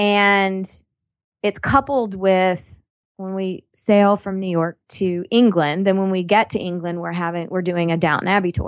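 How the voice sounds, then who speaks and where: In a plain, everyday voice, a woman speaks at a fairly slow pace and medium pitch with fairly even intonation against a quiet background. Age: 40s. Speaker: life coach. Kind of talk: casual chat.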